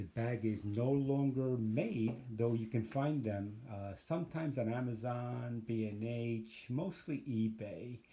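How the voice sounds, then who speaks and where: A man speaks at a fairly slow pace with hardly any pauses, his medium-pitched voice dark, mellow and somewhat breathy. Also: ordinary pitch variation. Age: 60s. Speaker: photography YouTuber reviewing gear. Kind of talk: casual gear review vlog. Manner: casual, hesitant with many fillers.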